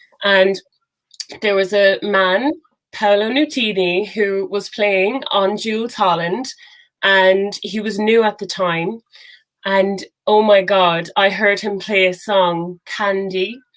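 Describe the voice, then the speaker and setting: Her pitch is medium and her intonation fairly even. The woman speaks at a very slow pace. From Ireland, Cork. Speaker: singer-songwriter. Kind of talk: interview.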